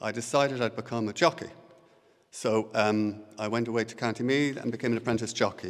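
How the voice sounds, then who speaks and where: Using fairly even intonation, a man with an Irish accent talks at a fairly quick pace and a medium pitch. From Ireland, Co. Louth. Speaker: poet. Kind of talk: poetry reading. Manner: hesitant.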